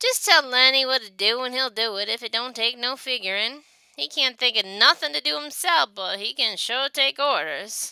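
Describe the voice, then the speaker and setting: Putting on a gruff character voice, a woman speaks with a high pitch and lively intonation at a moderate pace with hardly any pauses and big swings in loudness, in a dry, close sound with no echo on a very clean recording with a silent background. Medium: read story. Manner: gruff, defensive.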